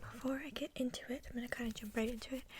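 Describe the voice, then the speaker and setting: A high-pitched woman's voice with an American accent and monotone, flat intonation. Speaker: ASMR creator. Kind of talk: ASMR Q&A, casual talk to camera. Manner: whispered, rambling, soft-spoken.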